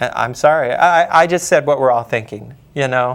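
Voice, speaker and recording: Speaking at a moderate pace, a man with an ordinary speaking voice keeps a medium pitch with ordinary pitch variation. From Wyoming, US. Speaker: horror novelist. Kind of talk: interview.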